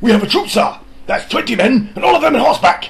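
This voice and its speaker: A man's put-on character voice, high-pitched, with lively intonation and a very fast pace. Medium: read story. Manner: formal, respectful.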